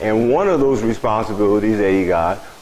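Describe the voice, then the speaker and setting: Against noticeable background noise and audible room echo, a man speaks at a fairly low pitch and moderate pace with fairly even intonation. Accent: American. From US Midwest, Springfield, Illinois. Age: 70s. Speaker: local community elder sharing memories. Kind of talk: storytelling talk to audience.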